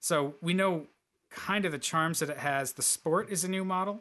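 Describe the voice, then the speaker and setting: In a quiet setting, a man talks with a bright, sharp tone. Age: 40s. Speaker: automotive journalist. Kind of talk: casual chat.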